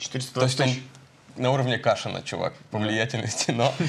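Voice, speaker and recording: A man talks at a moderate pace. Light background noise is present, and his pitch variation is ordinary. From Kursk, Russia. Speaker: stand-up comedian. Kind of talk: casual chat. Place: studio.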